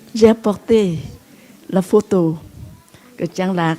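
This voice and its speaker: A woman speaks very slowly at a medium pitch with ordinary pitch variation. Background noise is noticeable. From Vietnam. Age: 80s+. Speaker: Buddhist nun and teacher. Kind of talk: dharma talk. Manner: halting.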